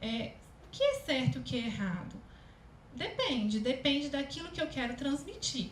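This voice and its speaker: With a Minas Gerais accent, a woman speaks at a moderate pace in a high voice that swings very widely in pitch, with audible room echo around her. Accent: mineiro. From Minas Gerais, Brazil. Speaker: speech therapist and communication consultant. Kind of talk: lecture.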